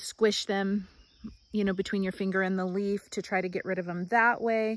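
The intonation is monotone and flat. The sound is dry with no echo. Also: woman. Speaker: home gardener vlogger. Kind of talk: casual vlog chat. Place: garden. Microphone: phone near.

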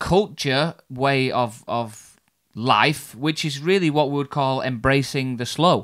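An unforced reading voice is heard, with a quiet background behind it.

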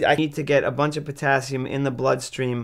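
A man's speech moves at a moderate pace, his intonation fairly even, with a quiet background behind him. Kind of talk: interview answer. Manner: weak, slack-mouthed, effortful speech. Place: home room.

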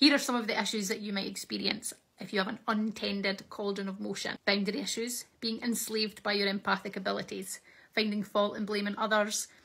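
A woman talks at a fairly quick pace with vocal fry. Her intonation is monotone and flat, and the background is quiet. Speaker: shamanic practice teacher. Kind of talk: tutorial. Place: home room.

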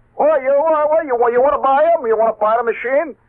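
A man does a put-on character voice at an extremely high pitch, speaking at a moderate pace.

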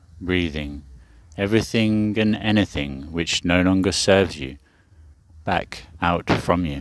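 Against a quiet background, a man talks at a fairly slow pace in a very deep, low voice with a soothing, warm tone and a dry sound with no echo. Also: ordinary pitch variation. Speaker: meditation teacher. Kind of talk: live guided evening sleep meditation, second-person breath cues. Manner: slow, soothing and hypnotic, long flowing run-on sentences; warm, gently affirming, spiritual blessings. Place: garden. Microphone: phone near.

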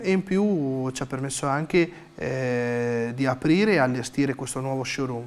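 The speaker is a man talking at a moderate pace. His pitch variation is ordinary. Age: 30s. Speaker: small business owner, clothing workshop. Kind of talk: interview-style business presentation; interview answer. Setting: frescoed historic building, showroom. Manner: hesitant, frequent filler sounds. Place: shop.

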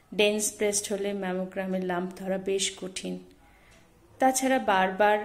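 This woman's medium-pitched voice has a monotone, flat intonation. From West Bengal, India. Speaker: journalist, breast cancer survivor. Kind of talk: awareness message to camera. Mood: warm, encouraging. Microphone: phone near.

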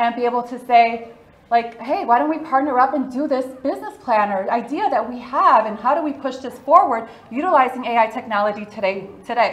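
A woman speaks at a fairly quick pace with a high pitch and ordinary pitch variation. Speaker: event host presenter. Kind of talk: presentation talk. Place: hall.

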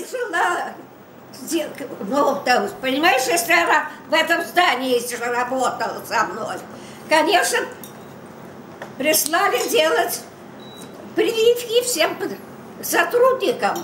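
A woman talks at an extremely high pitch, very slowly, with very wide pitch swings and long, frequent pauses. Room echo is audible over light background noise. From Moscow, Russia. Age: 80s+. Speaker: grandmother. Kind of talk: family interview, telling a personal story. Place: kitchen. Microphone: camera far.

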